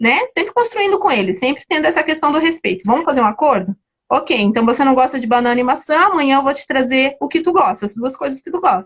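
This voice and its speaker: With hardly any pauses, a woman races along at a very fast pace, her high voice making very wide pitch swings. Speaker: early childhood educator. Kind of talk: live talk on early childhood education.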